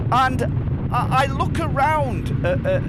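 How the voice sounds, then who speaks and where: Words come out at a very slow pace. Behind them, background noise is noticeable. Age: 60s. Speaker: motorcycle vlogger. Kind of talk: casual monologue while riding. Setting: outdoors riding a motorcycle. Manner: halting, repeats words.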